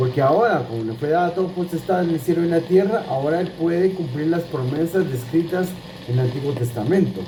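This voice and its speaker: Noticeable background noise sits behind a man speaking fairly quickly in a high pitch. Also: ordinary pitch variation. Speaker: Bible teacher. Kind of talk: Bible teaching. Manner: repetitive, halting restarts.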